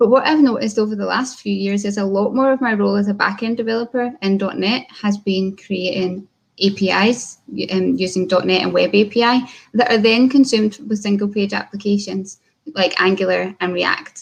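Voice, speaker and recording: Somewhat breathy, a woman with a Scottish accent talks at a fairly quick pace, medium in pitch, with fairly even intonation. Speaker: software developer. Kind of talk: conference talk.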